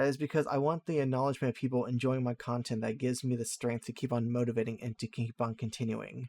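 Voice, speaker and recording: A man at medium pitch, very fast, with hardly any pauses and monotone, flat intonation. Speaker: YouTuber. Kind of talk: monologue update video. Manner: calm.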